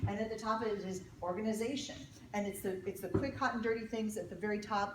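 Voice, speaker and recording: At a very fast pace, a woman with a medium pitch talks in an animated tone, with audible room echo and noticeable background noise. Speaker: leadership speaker, economist and retired naval officer. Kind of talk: keynote talk to an audience. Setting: stage with audience.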